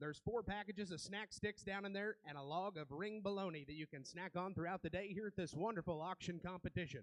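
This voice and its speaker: A high-pitched man with an American accent talks at a very fast pace with hardly any pauses, in a dry, close sound with no echo. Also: ordinary pitch variation. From Iowa. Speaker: auctioneer. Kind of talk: formal contest introduction.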